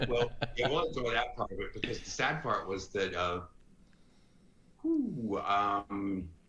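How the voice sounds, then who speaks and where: A man talks at a very slow pace with long, frequent pauses. Audible room echo is present. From US South (Florence, Alabama). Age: 60s. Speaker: retired advertising executive. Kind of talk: podcast interview. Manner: animated.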